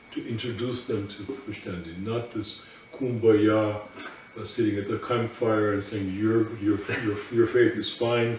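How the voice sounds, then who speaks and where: Amid noticeable background noise and audible room echo, a man speaks at a fairly slow pace in a medium pitch with monotone, flat intonation. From Russian émigré community. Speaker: Orthodox priest. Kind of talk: interview. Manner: halting.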